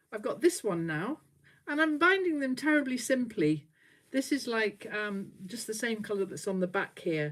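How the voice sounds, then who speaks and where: A woman speaks with a fairly high, somewhat breathy voice. Her pitch swings very widely. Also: moderate pace. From northern England. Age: 60s. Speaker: quilter. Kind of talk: casual chat. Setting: livestream.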